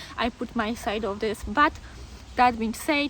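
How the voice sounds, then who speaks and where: A woman at a fairly slow pace with ordinary pitch variation and noticeable background noise. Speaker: dog owner vlogger. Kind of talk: casual vlog monologue. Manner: conversational with fillers and hesitations.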